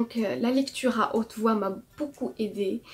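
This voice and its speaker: A woman speaks in a normal speaking voice at a fairly high pitch. Her pace is fairly slow and her intonation fairly even. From Morocco. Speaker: artist. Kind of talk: testimony with tips.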